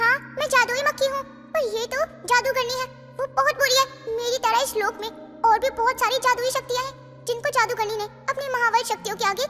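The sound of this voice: A female-sounding cartoonish character voice at an extremely high pitch moves at a fairly quick pace over clear music in the background.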